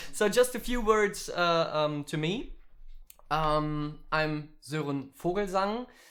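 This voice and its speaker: In a German accent, a man with a high pitch talks at a very slow pace with lively intonation. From Germany. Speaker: musician and streaming workshop teacher. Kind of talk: online workshop tutorial. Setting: live stream. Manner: halting, many fillers.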